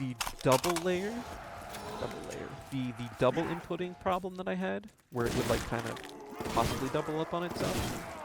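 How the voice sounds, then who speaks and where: Soft-spoken and fairly high in pitch, a man speaks with very wide pitch swings and long, frequent pauses against noticeable background noise. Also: moderate pace. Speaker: gaming YouTuber. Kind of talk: casual gameplay commentary. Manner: halting, many fillers.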